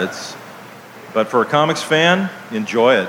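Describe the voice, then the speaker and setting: A man with an American accent and ordinary pitch variation, plus noticeable background noise. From Ohio, US. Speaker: cartoonist and author. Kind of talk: live interview on stage. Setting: outdoor stage with audience.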